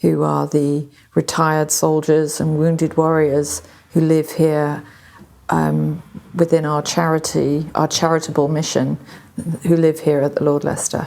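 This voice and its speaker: Speaking at a fairly slow pace with a slight American accent, a woman uses a very deep, low pitch and monotone, flat intonation. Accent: slight American twang. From Britain. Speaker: charity master of historic almshouse. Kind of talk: on-location interview.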